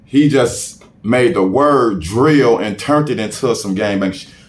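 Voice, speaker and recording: With very wide pitch swings, a man talks amid audible room echo. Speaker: rapper. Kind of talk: casual interview.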